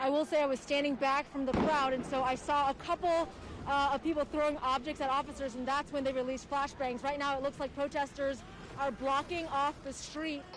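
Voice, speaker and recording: Over noticeable background noise, a woman with an American accent talks fairly quickly in a high, monotone, flat voice. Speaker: TV news reporter. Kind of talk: TV news field reporting, live and packaged. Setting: outdoors at a protest, live on scene. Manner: urgent, quick, breathless live report.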